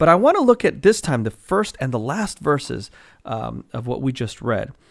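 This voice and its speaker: Very wide pitch swings from a man at a fairly slow pace, against a quiet background. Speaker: Bible teacher. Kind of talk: sermon. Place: home room. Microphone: studio mic.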